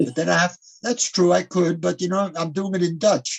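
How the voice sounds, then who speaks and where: Speaking at a moderate pace, a man has a high pitch and an American accent. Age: 80s+. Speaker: rabbi and teacher. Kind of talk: interview.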